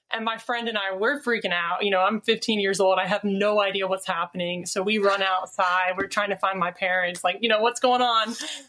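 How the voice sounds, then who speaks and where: A woman talks fairly quickly at medium pitch with hardly any pauses. Her intonation is fairly even, and there is noticeable background noise. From Alabama. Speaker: reality TV producer and paranormal podcaster. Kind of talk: casual chat.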